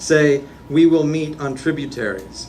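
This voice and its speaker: A man speaks slowly, at a fairly high pitch. His intonation stays fairly even over noticeable background noise. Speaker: poet. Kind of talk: poetry reading. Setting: live reading venue.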